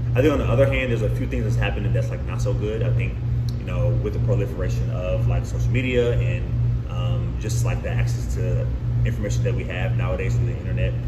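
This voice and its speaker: Loud background noise fills the recording. A man talks at a very fast pace. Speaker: guest. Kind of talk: interview answer. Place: home room.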